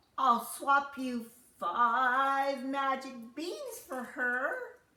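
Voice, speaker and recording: A woman puts on a croaky character voice at a high pitch. She speaks at a very slow pace with fairly even intonation. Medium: read story.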